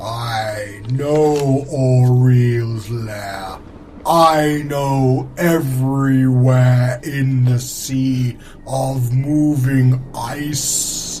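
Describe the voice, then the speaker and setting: A put-on character voice at a very slow pace, with fairly even intonation and clear background noise. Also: man, medium pitch for a man. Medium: actual play. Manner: haughty, condescending.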